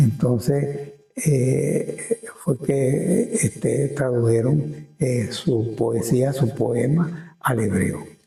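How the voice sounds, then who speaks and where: The speech moves at a very slow pace with ordinary pitch variation. Music plays in the background. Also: man, medium pitch for a man. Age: 80s+. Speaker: town chronicler. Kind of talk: interview answer. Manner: hesitant, repetitive.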